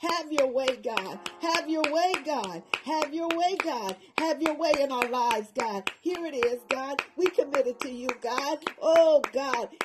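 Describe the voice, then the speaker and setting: Noticeable background noise surrounds a woman with a high pitch. She talks at a fairly slow pace with lively intonation. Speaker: prayer leader. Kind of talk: fervent intercessory prayer. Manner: impassioned, rhythmic, repetitive; urgent, pleading, rising in intensity.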